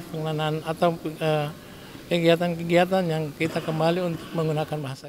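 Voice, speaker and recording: Noticeable background noise accompanies this man as he talks at a moderate pace. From Kei Islands, Maluku. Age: 60s. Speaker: regent (local government head). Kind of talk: interview remarks. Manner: halting with fillers.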